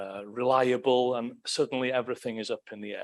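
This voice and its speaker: The speaker is a man with a medium pitch. He talks at a fairly quick pace. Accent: Welsh. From Wales. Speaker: political science professor. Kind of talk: lecture. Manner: animated.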